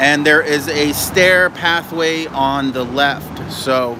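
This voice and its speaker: An animated tone comes through over noticeable background noise. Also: man. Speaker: online business coach and vlogger. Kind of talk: casual walking livestream vlog. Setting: outdoors by a river.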